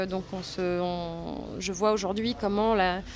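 Amid noticeable background noise, a woman speaks at a medium pitch with fairly even intonation. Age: 30s. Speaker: actress and former literature teacher. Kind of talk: interview testimony.

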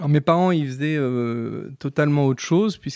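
This man talks at a moderate pace with ordinary pitch variation, recorded with a dry, close sound and no echo. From Vendée, western France (Les Sables-d'Olonne). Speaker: chartered accountant, firm owner. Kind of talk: casual interview. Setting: in person. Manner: hesitant, many fillers and repetitions.

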